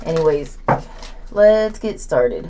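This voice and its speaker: Over noticeable background noise, a woman with an American accent speaks at a medium pitch. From southern Oklahoma. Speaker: tarot reader. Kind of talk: tarot reading.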